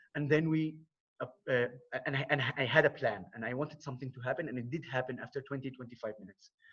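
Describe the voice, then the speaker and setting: With an Arabic accent, the speaker goes at a very fast pace with fairly even intonation. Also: man, medium pitch for a man. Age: 30s. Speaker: war veteran and non-profit founder. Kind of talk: presentation on conference call. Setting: video call. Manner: halting.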